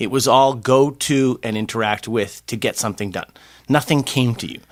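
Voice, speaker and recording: A man speaks in an ordinary speaking voice at medium pitch, with fairly even intonation and a moderate pace. The recording is very clean, with a silent background. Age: 60s. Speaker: podcast co-host. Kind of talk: casual chat.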